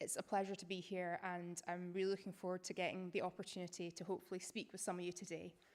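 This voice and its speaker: A woman with a Scottish accent speaks very fast with hardly any pauses, at a medium pitch and in a monotone, flat intonation. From Scotland, Edinburgh. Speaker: academic writer and researcher. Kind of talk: public lecture.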